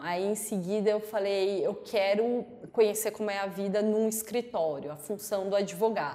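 An ordinary speaking voice at a moderate pace. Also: woman. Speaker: lawyer. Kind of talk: interview. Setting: studio.

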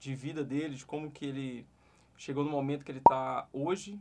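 A man speaks at a fairly quick pace in a fairly high pitch. He has an unremarkable speaking voice. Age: 30s. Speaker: digital marketing podcast host. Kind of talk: interview. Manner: casual.

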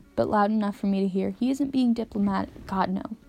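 Pitch varies in an ordinary way. The reading voice is unforced.

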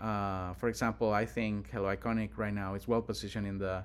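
Lively intonation at a moderate pace, in a Spanish accent. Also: man. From Honduras. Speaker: tech entrepreneur. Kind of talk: casual interview. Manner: hesitant with frequent fillers.

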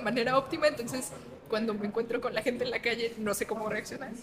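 Background noise is noticeable here. A woman talks at a very fast pace. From Guadalajara, Jalisco, Mexico. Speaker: philosophy teacher and popularizer. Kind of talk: casual interview. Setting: in-person studio interview.

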